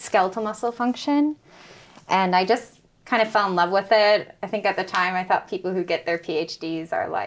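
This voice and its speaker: In a very clean recording with a silent background, a woman with an American accent speaks at a moderate pace in a normal speaking voice, medium in pitch with ordinary variation. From United States. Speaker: postdoctoral researcher. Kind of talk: podcast interview. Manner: casual, many fillers.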